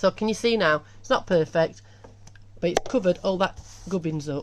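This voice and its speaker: A woman speaks with a Yorkshire accent. Her pitch is fairly low. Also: ordinary pitch variation, moderate pace. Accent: broad Yorkshire. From Yorkshire, northern England. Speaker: embroidery tutor. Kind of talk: tutorial. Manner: casual, chatty.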